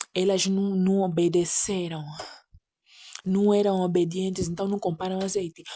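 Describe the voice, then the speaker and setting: A soft-spoken woman talks at a fairly slow pace in a monotone, flat intonation, with long, frequent pauses and audible room echo. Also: medium pitch for a woman. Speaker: preacher. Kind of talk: sermon.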